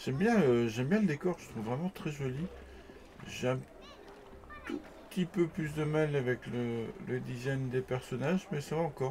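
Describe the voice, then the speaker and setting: The man's fairly high voice moves at a moderate pace with lively intonation and long, frequent pauses. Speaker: gaming youtuber. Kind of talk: let's play commentary. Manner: hesitant, with fillers; whispering at times.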